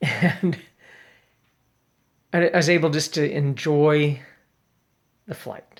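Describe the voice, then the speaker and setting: A fairly high-pitched man with fairly even intonation. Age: 60s. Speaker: father making video messages for his family. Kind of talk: casual personal video monologue. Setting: at home, late evening. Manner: hesitant, many fillers and restarts.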